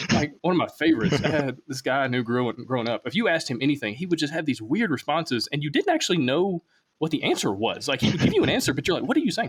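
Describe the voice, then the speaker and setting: Hardly pausing at all, a man races along at a very fast pace with a fairly high pitch and lively intonation. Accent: Alabama. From US South, Alabama. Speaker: podcast host, interviewer. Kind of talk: casual interview chat.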